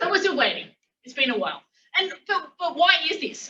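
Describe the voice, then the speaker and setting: A woman's raised, projected voice in an Australian accent. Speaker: physics academic. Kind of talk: lecture. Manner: halting, many fillers.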